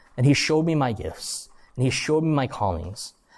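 Recorded very clean against a silent background, a man with an American accent has an ordinary speaking voice. His pitch is fairly high, his intonation lively and his pace moderate. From US, Korean American. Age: 20s. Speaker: youth pastor / Bible teacher. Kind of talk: sermon to students. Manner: casual, conversational.

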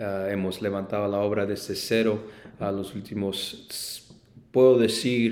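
Audible room echo surrounds a man speaking at a fairly slow pace. His fairly low voice is monotone, with flat intonation. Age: 20s. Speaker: pastor. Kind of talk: casual chat. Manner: halting.

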